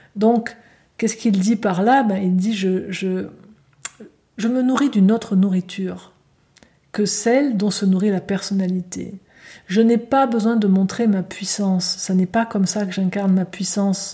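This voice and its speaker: A woman with a gentle, dark and mellow tone speaks at a medium pitch, somewhat breathy and with fairly even intonation, leaving long, frequent pauses. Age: 50s. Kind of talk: spiritual talk. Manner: halting.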